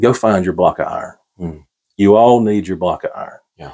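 A man with a North Carolina accent talks at a fairly quick pace with fairly even intonation over a quiet background. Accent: Southern US (North Carolina). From US South, Gaston County, North Carolina. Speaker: podcast guest. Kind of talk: casual chat. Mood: warm, reflective storytelling. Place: home room. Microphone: lapel.

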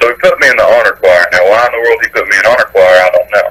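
A man's fairly low voice, very fast, with a fairly bright tone and ordinary pitch variation.

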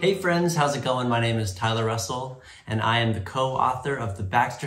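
With ordinary pitch variation, the voice is reading aloud in a natural voice.

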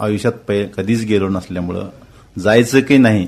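A man with a medium pitch and fairly even intonation speaks in a plain, everyday voice. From Miraj taluka, Sangli, Maharashtra, India. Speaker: air force veteran. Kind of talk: radio interview. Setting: studio.

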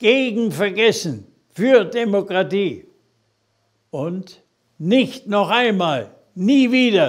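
Over a quiet background, a man with a high pitch and lively intonation speaks very slowly, with long, frequent pauses. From Germany. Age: 80s+. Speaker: politician. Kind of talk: political video address. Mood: earnest, admonishing. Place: office. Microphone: lapel.

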